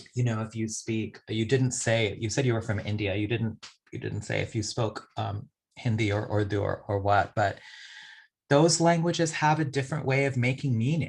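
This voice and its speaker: Against a quiet background, a somewhat breathy man speaks at a moderate pace and medium pitch with ordinary pitch variation. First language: a non-English language, since lost. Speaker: poet. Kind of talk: audience Q&A answer. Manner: reflective, with many fillers.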